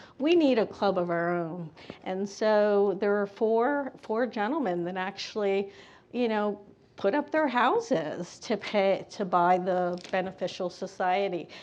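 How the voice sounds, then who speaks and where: A woman with an American accent talks at a fairly slow pace in an unremarkable speaking voice, with ordinary pitch variation. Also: medium pitch for a woman. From Bethlehem, Pennsylvania. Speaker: panelist, educator. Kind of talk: panel discussion.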